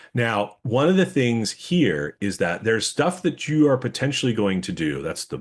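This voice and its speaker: A man at a medium pitch with vocal fry, very wide pitch swings and a fairly quick pace, over a quiet background. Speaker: webinar presenter. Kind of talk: webinar presentation. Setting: online webinar. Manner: fast.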